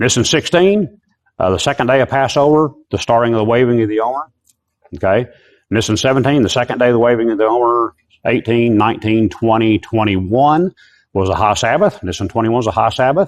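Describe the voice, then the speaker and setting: Over a quiet background, a man talks fairly quickly at medium pitch, with ordinary pitch variation and very even loudness. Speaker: Bible teacher. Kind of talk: lecture. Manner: fast.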